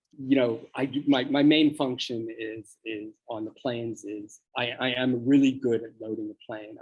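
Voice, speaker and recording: An ordinary speaking voice, this man talks with an American accent at a moderate pace, with hardly any pauses. His intonation is fairly even, but his loudness swings widely. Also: medium pitch for a man. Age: 60s. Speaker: charity president, record producer. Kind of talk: interview.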